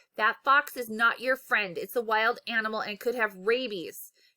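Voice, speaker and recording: A woman's put-on character voice, fairly high in pitch, with fairly even intonation. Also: moderate pace. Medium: read story.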